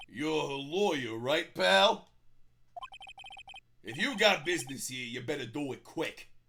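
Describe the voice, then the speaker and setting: Putting on a gruff character voice, a man speaks fairly slowly at a fairly high pitch with lively intonation and long, frequent pauses. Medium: game stream. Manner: gruff, calls people pal.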